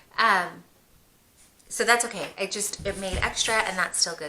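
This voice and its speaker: A woman with a medium-pitched voice and ordinary pitch variation talks fairly quickly while noticeable background noise carries on. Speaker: homeschooling mom vlogger. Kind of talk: casual vlog narration.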